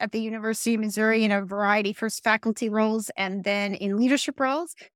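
A woman with an American accent talks at a very fast pace and a fairly high pitch. The recording is very clean, with a silent background and a dry, close sound with no echo. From New Jersey. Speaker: college president. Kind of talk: interview.

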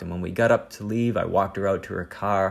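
In a plain, everyday voice, a man speaks at a fairly low pitch with ordinary pitch variation. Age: 40s. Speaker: podcast host. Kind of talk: personal monologue.

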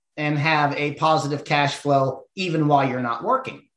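With an American accent and a plain, everyday voice, a man speaks at a moderate pace and a fairly high pitch. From Ohio hill country, US Midwest. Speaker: entrepreneur, former professional angler. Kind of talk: interview conversation. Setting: studio.

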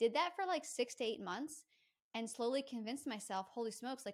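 A woman's fairly high, lively voice, an unremarkable speaking voice. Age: 30s. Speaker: pet psychic. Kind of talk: casual chat.

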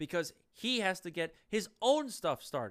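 Sounding animated, a man with a high pitch speaks at a moderate pace, his pitch swinging very widely. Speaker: podcast host. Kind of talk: political commentary monologue.

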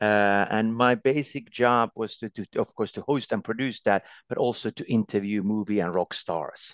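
In a Finnish accent, a man talks at medium pitch and a moderate pace with ordinary pitch variation and hardly any pauses, the sound dry and close with no echo over a quiet background. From Finland. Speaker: former ski endurance record holder and ski commentator. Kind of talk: casual interview. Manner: halting, many fillers.

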